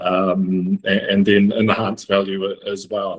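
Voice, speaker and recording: A man speaks with a New Zealand accent. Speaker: logistics executive. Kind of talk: panel interview. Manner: hesitant with many fillers.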